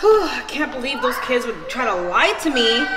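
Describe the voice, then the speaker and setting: A woman is speaking. Loud background noise surrounds her. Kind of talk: scripted family skit dialogue. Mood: suspicious, scolding. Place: kitchen. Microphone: camera far.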